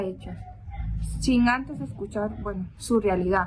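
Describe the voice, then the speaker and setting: A woman talks with a non-native accent. Her pace is fairly slow. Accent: non-native Spanish speaker. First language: not Spanish (speaking Spanish). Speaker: theology student. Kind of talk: reading aloud a prepared reflection. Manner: formal.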